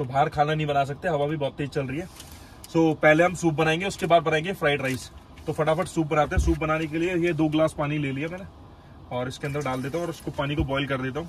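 A somewhat breathy man at a fairly quick pace, with fairly even intonation and light background noise. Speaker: travel vlogger. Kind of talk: casual vlog chat. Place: car. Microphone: phone near.

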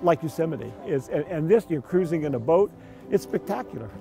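Clear music sits behind a man speaking at a high pitch, the sound dry with no echo. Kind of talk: interview answer. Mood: delighted, enthusiastic. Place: boat.

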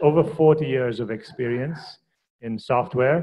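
Over a quiet background, a man speaks at a fairly high pitch with ordinary pitch variation. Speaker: university faculty host. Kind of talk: speaker introduction. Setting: stage with audience. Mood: warm, lightly joking. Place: hall.

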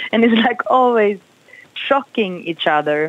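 A woman with a Swedish accent speaks at a fairly high pitch, her voice making very wide pitch swings. The sound is dry with no echo. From Sweden. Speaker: jazz singer. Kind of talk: interview. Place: studio.

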